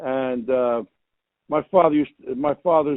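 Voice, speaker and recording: With a New Jersey accent, a man speaks at a very slow pace with ordinary pitch variation. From US Northeast, Newark, New Jersey. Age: 80s+. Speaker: entertainer, actor and comedian. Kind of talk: interview. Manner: halting, repetitive restarts.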